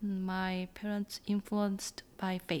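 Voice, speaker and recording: A woman's medium-pitched voice with a Korean accent, at a very slow pace. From Seoul, South Korea. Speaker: churchgoer. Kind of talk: interview. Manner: halting.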